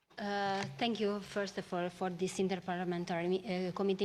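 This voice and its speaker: A woman with a Romanian accent, medium in pitch, with fairly even intonation. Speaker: member of parliament. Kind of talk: parliamentary committee question. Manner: halting.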